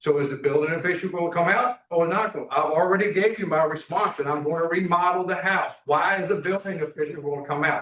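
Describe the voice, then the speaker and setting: A man talks at a fairly quick pace in a high pitch. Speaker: property owner addressing council. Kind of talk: public comment at council meeting. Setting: town council meeting room. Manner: loud.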